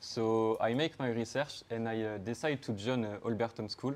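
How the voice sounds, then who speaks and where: A moderate pace with fairly even intonation. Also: man. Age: 20s. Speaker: student. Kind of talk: project presentation. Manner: halting.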